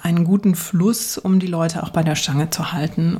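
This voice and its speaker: Her intonation monotone and flat, a woman speaks at a moderate pace with a fairly low pitch. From East Germany, village. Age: 30s. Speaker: journalist and history podcaster. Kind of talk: casual interview. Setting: remote call from the USA.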